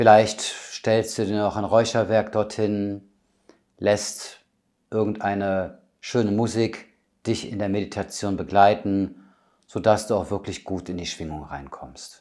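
A man speaks very slowly in a calm, soothing tone, his fairly low voice keeping a fairly even intonation while his loudness swings widely against a quiet background. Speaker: medium and spiritual healer. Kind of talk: guided meditation. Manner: calm, slow, soothing; gentle, intimate, addressing listener as du. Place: home room.

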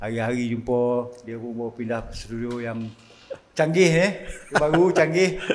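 Speaking at a fairly slow pace in a Negeri Sembilan accent, the voice carries lively intonation. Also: man. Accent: Kuala Pilah Negeri Sembilan dialect picked up. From Johor, Malaysia. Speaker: friend of the host. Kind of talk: casual chat. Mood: relaxed, joking. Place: studio. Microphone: studio mic.

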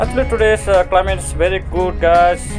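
A man speaking over clear music in the background. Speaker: travel vlogger. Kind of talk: casual vlog chat. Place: bus. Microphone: phone near.

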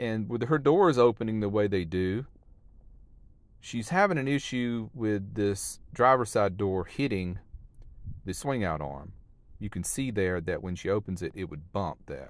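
This is an ordinary speaking voice, a man's at a fairly low pitch with lively intonation. He talks at a fairly slow pace, and the sound is dry with no echo. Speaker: van life vlogger. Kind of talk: casual vlog chat. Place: open country. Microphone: phone near.

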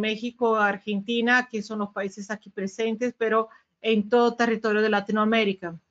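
Fairly high in pitch, a woman's voice comes with a Brazilian accent. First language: Portuguese (speaking Spanish). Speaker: sales manager at a security vendor. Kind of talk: webinar presentation. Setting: webinar video call.

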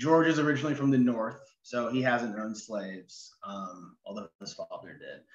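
A man with an American accent talks at a moderate pace with ordinary pitch variation. Audible room echo surrounds his voice. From Oregon, US (Ashland); Oregon. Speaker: novelist. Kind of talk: interview. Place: home room. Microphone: video call.

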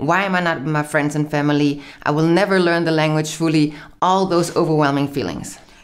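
At a fairly quick pace, a woman speaks in a very deep, low pitch with fairly even intonation and very even loudness over noticeable background noise. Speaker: YouTuber and expat life content creator. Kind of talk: casual conversational video.

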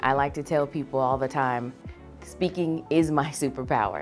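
A woman with a very deep, low pitch, fairly even intonation and a moderate pace, with faint music in the background. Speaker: voice actor; Navy veteran. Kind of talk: talent introduction to camera.

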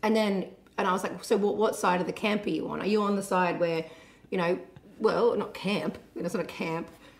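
A woman with an Australian accent at a fairly quick pace and ordinary pitch variation. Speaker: musician and show host. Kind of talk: casual chat. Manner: animated. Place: home room. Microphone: studio mic.

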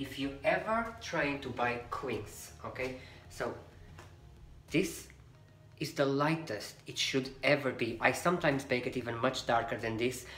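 A man with a Portuguese accent speaks at a fairly slow pace. Faint music plays in the background amid audible room echo. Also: ordinary pitch variation. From Portugal. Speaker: cooking youtuber. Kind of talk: cooking tutorial; tutorial. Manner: chatty, frequent okay fillers. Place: kitchen.

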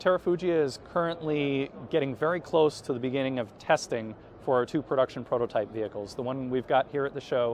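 Light background noise accompanies a man talking at a fairly quick pace. His pitch varies in an ordinary way, and the sound is dry with no echo. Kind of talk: interview answer. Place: hall. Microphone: camera far.

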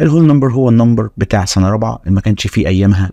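A man with a dark, mellow tone and medium pitch speaks with lively intonation, the sound dry and close with no echo. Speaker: math teacher. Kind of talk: lecture. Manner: animated.

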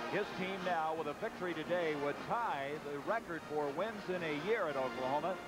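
A man talks at a fairly quick pace over loud background noise. The sound is dry, with no echo. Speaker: play-by-play sports announcer. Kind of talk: live commentary.

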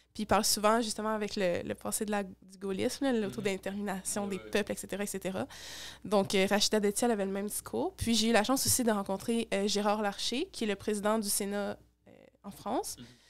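Speaking fairly quickly in a Quebec accent, a woman keeps her intonation fairly even. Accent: Québécois. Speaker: youth political activist; podcast guest. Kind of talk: interview. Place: home room. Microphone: studio mic.

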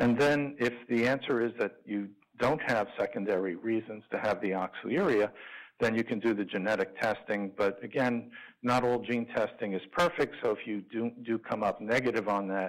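In a normal speaking voice, a man with an American accent talks at a moderate pace. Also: quiet background. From New York. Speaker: liver transplant physician; physician lecturer. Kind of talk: lecture. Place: hall.

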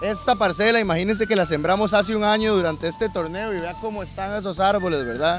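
Clear music plays in the background as a man with a high pitch talks at a fairly quick pace, with ordinary pitch variation and a dry sound with no echo. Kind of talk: speech to a group. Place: open country. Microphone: handheld.

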